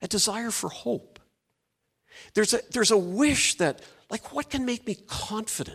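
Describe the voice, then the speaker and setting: A high-pitched man speaks at a moderate pace with ordinary pitch variation and long, frequent pauses. The recording is very clean, with a silent background. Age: 60s. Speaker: pastor. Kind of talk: sermon. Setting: church.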